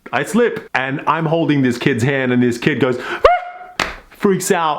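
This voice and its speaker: A man talks. Noticeable background noise is present behind him. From Australia. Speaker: performance poet, motivational speaker. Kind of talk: storytelling vlog to camera. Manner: high-energy.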